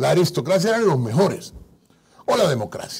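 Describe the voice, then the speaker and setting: A man speaks with a high pitch. His voice makes very wide pitch swings. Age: 50s. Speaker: guest. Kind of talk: political interview. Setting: studio. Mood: critical, combative. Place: studio. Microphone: lapel.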